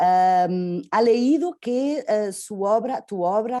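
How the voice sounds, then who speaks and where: Her voice has a dark, mellow tone at a medium pitch, and the woman is heard over a quiet background. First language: Portuguese (speaking Spanish). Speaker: interviewer. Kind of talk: interview. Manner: halting.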